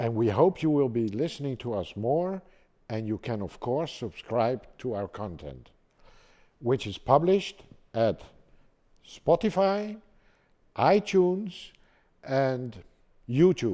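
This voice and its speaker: Speaking at a very slow pace with long, frequent pauses, a man with a Dutch accent has a medium pitch, a dark, mellow tone and very wide pitch swings against a quiet background. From Netherlands, Amsterdam. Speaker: pump export manager. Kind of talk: casual chat; scripted narration.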